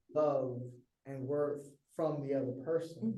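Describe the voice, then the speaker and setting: In an American accent, a man with a fairly high pitch talks with fairly even intonation, and audible room echo surrounds the voice. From Texas. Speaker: performance poet. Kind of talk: casual chat.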